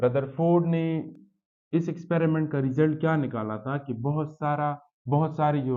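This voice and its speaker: With fairly even intonation, a man speaks in a fairly high voice. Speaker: science teacher. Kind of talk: lecture. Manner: slow.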